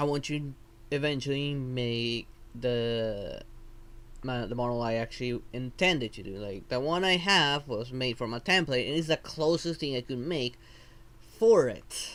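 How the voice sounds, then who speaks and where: A medium-pitched man with a non-native accent, at a fairly slow pace with ordinary pitch variation. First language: not English. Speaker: vtuber streamer. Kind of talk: live stream tutorial. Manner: halting.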